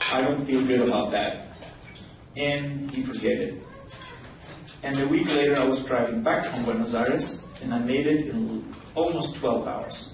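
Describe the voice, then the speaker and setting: Over noticeable background noise and audible room echo, a man with a fairly high pitch speaks at a moderate pace. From Paraguay. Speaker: ophthalmologist. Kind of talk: talk at a conference lunch. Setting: conference lunch with audience.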